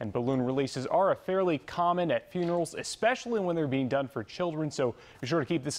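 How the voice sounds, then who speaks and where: Lively intonation carries this man's speech. He talks at a very fast pace. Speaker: news anchor. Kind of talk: news reading. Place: studio. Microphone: lapel.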